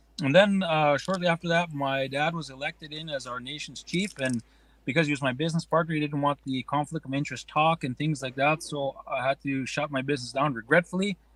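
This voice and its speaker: Using a normal speaking voice, a man talks at a fairly quick pace with hardly any pauses. His pitch is fairly high, his intonation fairly even, and the sound is dry and close with no echo. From Nakota Sioux Nation, Alberta, Canada. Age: 40s. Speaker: pow-wow singer, forestry worker. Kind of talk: podcast interview answer. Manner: casual, relaxed.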